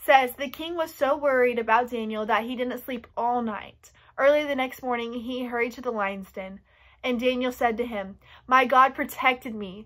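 A woman speaks at a moderate pace with a high pitch against a quiet background. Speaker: youth storyteller. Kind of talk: children's story reading and lesson. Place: home room. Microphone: phone near.

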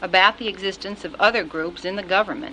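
The speaker keeps a moderate tempo and normal pitch movement while noticeable noise fills the background. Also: woman. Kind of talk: recorded congressional testimony.

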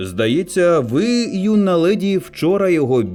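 The voice reads plainly aloud, its intonation lively.

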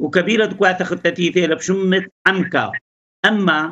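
A man speaks in a high pitch with fairly even intonation and a northern Iraqi accent. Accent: Chaldean Neo-Aramaic dialect of Ankawa. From Iraq, Ankawa near Erbil. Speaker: politician and local historian; politician. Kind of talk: interview. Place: home room. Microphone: video call.

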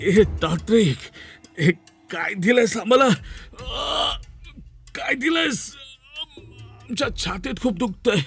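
Shouting in a shaky, high-pitched put-on character voice, a man goes at a fairly slow pace with music in the background.

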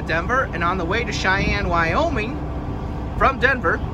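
Over loud background noise, the speaker keeps a moderate pace. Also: man. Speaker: truck driver vlogger. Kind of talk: casual vlog chat. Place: street. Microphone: phone near.

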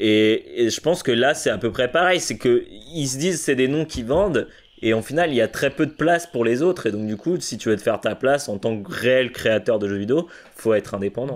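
Lively intonation from a man at a moderate pace. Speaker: podcast co-host. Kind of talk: casual chat. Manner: halting. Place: home room. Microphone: studio mic.

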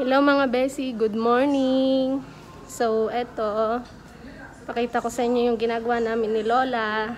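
Intonation stays monotone and flat at a fairly slow pace. Light background noise sits behind the voice. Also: woman, high pitch for a woman. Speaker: caregiver vlogger. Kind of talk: casual vlog chat. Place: hall. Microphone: phone near.

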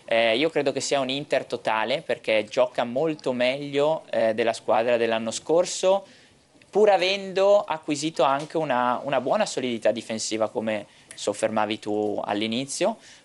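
This voice moves at a moderate pace with lively intonation. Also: man. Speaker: football pundit. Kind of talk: TV football talk show. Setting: TV studio. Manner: halting, repeats words. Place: studio.

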